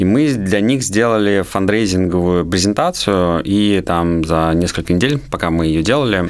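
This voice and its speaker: A plain, everyday voice: a man at fairly low pitch with ordinary pitch variation. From Moscow region, Russia. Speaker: IT entrepreneur. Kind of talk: interview.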